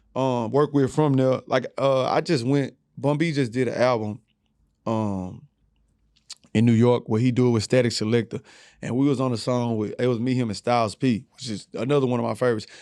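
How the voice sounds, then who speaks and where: With an American accent and a medium pitch, a man talks at a fairly quick pace with fairly even intonation. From Houston, Texas. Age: 30s. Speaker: rapper. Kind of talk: casual chat.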